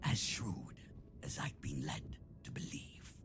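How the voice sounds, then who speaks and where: A man whispering in a put-on character voice at a fairly slow pace, over loud background noise. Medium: video game. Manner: cold, condescending.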